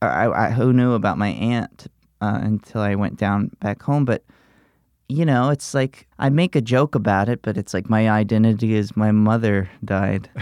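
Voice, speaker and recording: On a very clean recording with a silent background, a man with an American accent uses a normal speaking voice at medium pitch with ordinary pitch variation. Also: moderate pace, dry, close sound with no echo. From US South, Alabama Gulf Coast. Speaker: comedian. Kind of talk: casual interview.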